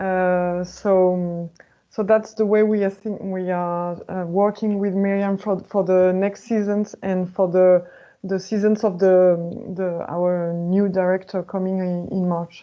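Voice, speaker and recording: With a French accent, a woman speaks slowly in a medium pitch, her intonation monotone and flat. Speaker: opera sales manager. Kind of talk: webinar panel discussion. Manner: halting.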